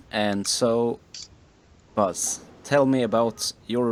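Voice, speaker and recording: A man speaks with a Swedish accent. His pitch varies in an ordinary way. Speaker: podcast co-host. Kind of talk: casual chat.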